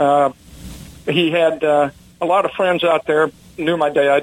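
With a Southern US accent, a man speaks at a fairly slow pace in a fairly high pitch. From US South, Mississippi. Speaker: fighter pilot, war veteran. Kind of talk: interview.

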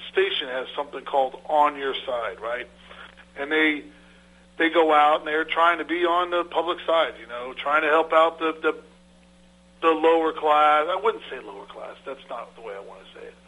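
This man has a plain, everyday voice. He speaks at a moderate pace and a fairly high pitch. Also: ordinary pitch variation, big swings in loudness. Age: 50s. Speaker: land surveyor and firm owner. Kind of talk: radio interview.

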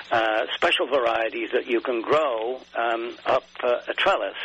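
A man talks with an English accent. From England. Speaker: garden writer and photographer. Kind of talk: interview.

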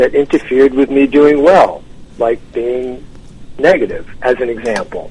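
Over noticeable background noise, a man with an American accent speaks at a moderate pace, his fairly high pitch moving with ordinary variation. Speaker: author and tennis champion. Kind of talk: radio interview. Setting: phone call.

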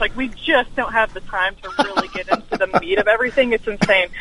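Noticeable background noise is present. Over it, a woman talks with a fairly high pitch. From Alabama. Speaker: political commentator. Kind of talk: radio interview.

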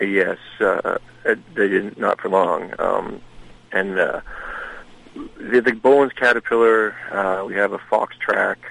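A man speaks with an American accent, leaving long, frequent pauses. Noticeable background noise runs underneath. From Maine, US. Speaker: museum director, retired Marine. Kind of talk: radio interview.

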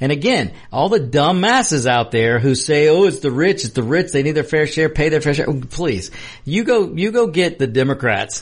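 A man's somewhat breathy, fairly high voice at a moderate pace, with very wide pitch swings. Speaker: co-host. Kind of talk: casual banter. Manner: jokey, laughing, storytelling.

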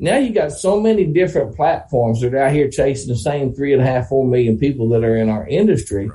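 A man with a Southern US accent talks at a very fast pace with hardly any pauses, his medium-pitched voice somewhat breathy. His tone is dark and mellow, and his pitch swings very widely. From Oklahoma. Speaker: classic car dealer and auctioneer. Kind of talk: casual chat.

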